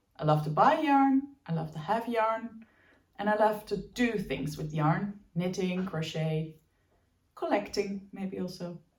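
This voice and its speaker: Speaking at a fairly slow pace, a woman has a medium pitch and ordinary pitch variation. Her voice is somewhat breathy. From Belgium, Dutch family. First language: Dutch. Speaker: knitting podcaster. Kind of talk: casual chat. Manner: hesitant, with fillers.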